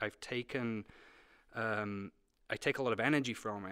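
A man with a British accent talks at a moderate pace, his medium-pitched voice keeping fairly even intonation. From Britain. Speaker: museum director. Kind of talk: interview.

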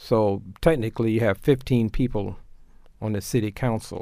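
In a very clean recording with a silent background, a man speaks with a fairly low pitch and a dark, mellow tone. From Oklahoma, Tulsa. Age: 70s. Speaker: mayoral candidate. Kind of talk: radio interview.

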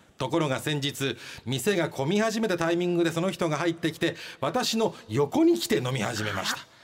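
Noticeable background noise accompanies a man with a high pitch. He talks at a moderate pace with lively intonation. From Kyushu, Japan. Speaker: radio host. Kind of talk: casual radio banter reading listener mail. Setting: radio studio. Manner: joking, self-deprecating.

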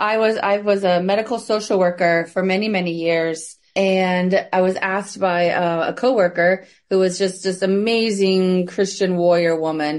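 At a moderate pace, a woman with a medium pitch talks with very even loudness and fairly even intonation. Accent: American. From US Midwest. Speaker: trafficking survivor and nonprofit founder. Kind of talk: interview, personal testimony.

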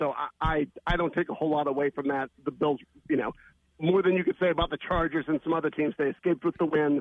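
A plain, everyday voice from a man, fairly high in pitch with fairly even intonation. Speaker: sports betting analyst. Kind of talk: sports radio interview.

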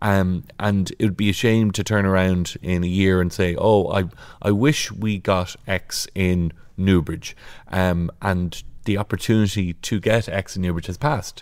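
A man speaks with an Irish accent, his pitch very deep and low, at a fairly slow pace and with fairly even intonation. The recording is very clean, with a silent background. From Ireland, County Kildare (Naas). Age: 30s. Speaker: local politician, county council chair. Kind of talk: podcast interview. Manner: hesitant, many filler words.

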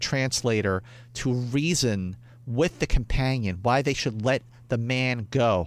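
In a Philadelphia accent, a man speaks at a medium pitch with lively intonation on a very clean recording with a silent background. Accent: Philadelphia American. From US, Northeast Philadelphia. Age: 40s. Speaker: film critic and fan convention figure. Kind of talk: casual chat.

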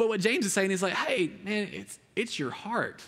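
A man speaks with an Alabama accent. His tone is bright and sharp. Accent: US Southern (Alabama). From rural Alabama. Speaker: youth pastor. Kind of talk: sermon. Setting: stage with audience. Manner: casual, conversational with many fillers.

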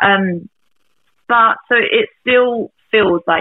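A woman talks with a southern English accent and ordinary pitch variation. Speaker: singer-songwriter. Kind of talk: casual chat.

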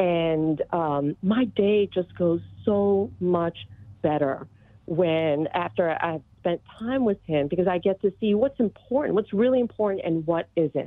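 With an American accent and an ordinary speaking voice, a woman talks at a fairly slow pace, her fairly low pitch carrying lively intonation at very even loudness. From Texas, Austin. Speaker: caller. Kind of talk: testimony. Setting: phone call.

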